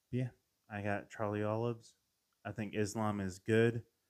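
Flat and monotone, a man's fairly low voice has a dark, mellow tone. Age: 30s. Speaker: MMA podcast host. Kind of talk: casual solo commentary.

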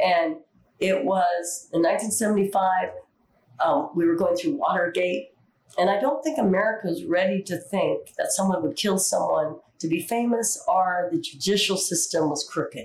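A woman's somewhat breathy, medium-pitched voice at a fairly slow pace, with lively intonation and very even loudness. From US Pacific Northwest, Seattle. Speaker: Broadway dancer and actress. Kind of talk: interview.

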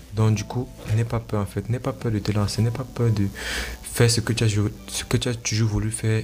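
A man speaks at a moderate pace with a fairly low pitch and fairly even intonation. Noticeable background noise runs underneath. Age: young. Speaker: entrepreneur and blogger podcaster. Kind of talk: motivational solo talk. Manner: halting.

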